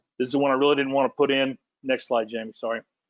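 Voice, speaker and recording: A man speaks at medium pitch. His intonation is fairly even. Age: middle-aged. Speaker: industry panelist. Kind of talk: presentation. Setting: virtual webinar. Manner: fast.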